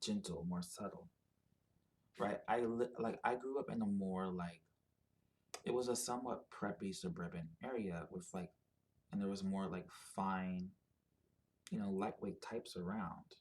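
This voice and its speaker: Long, frequent pauses break up a man's fairly slow speech, his fairly low voice showing ordinary pitch variation. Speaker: video blogger. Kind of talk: personal monologue. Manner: halting, many fillers.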